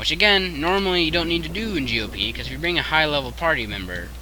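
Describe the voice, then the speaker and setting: Very fast speech from a man amid noticeable background noise and audible room echo. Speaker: video game streamer. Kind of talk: live gameplay commentary. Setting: live stream.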